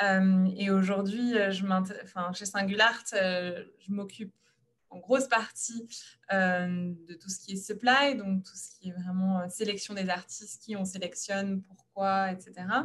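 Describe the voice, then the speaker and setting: A woman at a fairly slow pace, medium in pitch, with fairly even intonation. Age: 30s. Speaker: startup co-founder. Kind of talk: panel talk, self-presentation. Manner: hesitant, frequent fillers.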